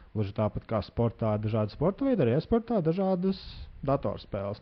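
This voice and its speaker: A man's pitch moves through very wide swings. His voice sits at a medium pitch. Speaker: podcast host. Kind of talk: interview.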